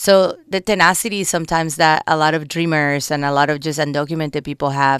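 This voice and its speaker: With a Colombian accent, a woman speaks in a very deep, low pitch in a very clean recording with a silent background. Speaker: political candidate and community organizer. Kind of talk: radio interview. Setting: radio studio.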